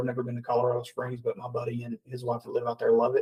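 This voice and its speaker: In a Southern US accent, a man talks at a medium pitch with a somewhat breathy quality. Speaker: podcast host. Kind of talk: casual chat. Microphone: mic too quiet or too hot.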